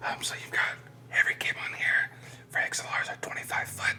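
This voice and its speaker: A man whispers in a breathy voice at a moderate pace. There is noticeable background noise. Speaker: musician and producer. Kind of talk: studio tour walkthrough. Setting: recording studio.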